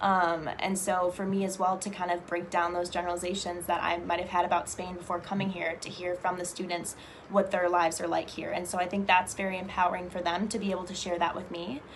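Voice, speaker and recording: A woman with an American accent at a very fast pace, hardly any pauses, fairly low pitch and monotone, flat intonation, amid audible room echo and noticeable background noise. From US Midwest, Chicago. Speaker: English teaching assistant. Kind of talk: interview monologue. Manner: fluent, frequent fillers.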